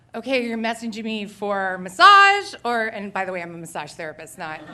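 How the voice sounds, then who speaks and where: The tone is bright and sharp, with lively intonation. Audible room echo surrounds the voice. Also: woman. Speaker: storyteller, massage therapist. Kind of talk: live storytelling. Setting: stage with audience. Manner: fast; hesitant, filler-heavy.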